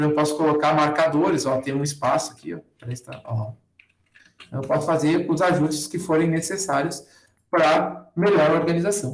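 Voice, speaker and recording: A man's voice, pitched fairly high and with fairly even intonation, carries an audible echo from the room. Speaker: university lecturer teaching a workshop. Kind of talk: online tutorial with screen demo. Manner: fast. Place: home room. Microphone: webcam.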